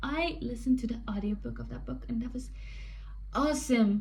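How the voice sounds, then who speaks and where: A woman with a non-native accent speaks amid audible room echo. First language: not English. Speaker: book vlogger. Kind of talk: casual chat. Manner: rambling with fillers.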